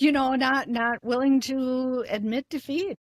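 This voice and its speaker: The recording is very clean, with a silent background and a dry, close sound with no echo. A woman speaks with an Upper Midwest accent. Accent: Upper Midwest American. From US Midwest, Eau Claire, Wisconsin. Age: 60s. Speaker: retired gym member. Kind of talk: casual interview.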